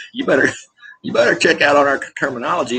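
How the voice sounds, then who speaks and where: This man has a Southern US accent and a fairly high pitch. He talks very fast with lively intonation. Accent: Southern US rural. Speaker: military veteran vlogger. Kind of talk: casual rant vlog. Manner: animated.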